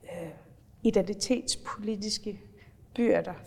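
A woman speaks at a very slow pace with a fairly high pitch and fairly even intonation. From Faroe Islands. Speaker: politician. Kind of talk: interview.

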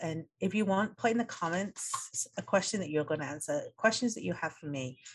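A somewhat breathy woman with an English accent, lively intonation and a moderate pace. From England. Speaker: podcast host. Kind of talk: solo podcast monologue.

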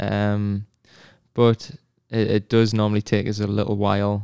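A man's fairly low, monotone voice with flat intonation, dry and close with no echo, in a very clean recording with a silent background. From northeast England, near Sunderland. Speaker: professional soccer player. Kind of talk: casual interview chat.

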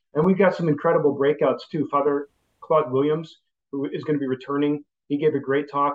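A man with a Chicago accent speaks in a fairly high pitch for a man, his intonation flat and monotone. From Chicago area, US. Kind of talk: interview.

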